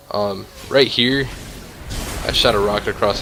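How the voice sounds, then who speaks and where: Over music in the background, a man talks in a fairly low voice with fairly even intonation. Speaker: gamer. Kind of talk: gameplay commentary. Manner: stutters; pauses a lot.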